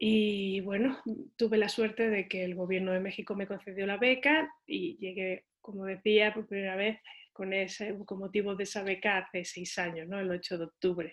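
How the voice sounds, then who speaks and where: Speaking at a moderate pace and a medium pitch, a woman has a plain, everyday voice. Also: ordinary pitch variation. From Seville, southern Spain. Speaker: visual artist and university lecturer. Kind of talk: interview.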